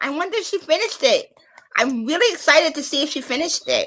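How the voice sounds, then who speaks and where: A woman talks at a very fast pace in a raised, projected voice. Her pitch swings very widely. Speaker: live stream host. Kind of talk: casual chat. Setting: live stream. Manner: loud.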